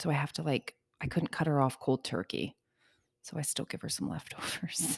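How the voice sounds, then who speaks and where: The intonation is lively, with vocal fry and a moderate pace. The sound is dry and close, with no echo. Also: woman, very deep, low pitch for a woman. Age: 40s. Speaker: podcast co-host. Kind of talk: casual chat. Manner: playful, joking.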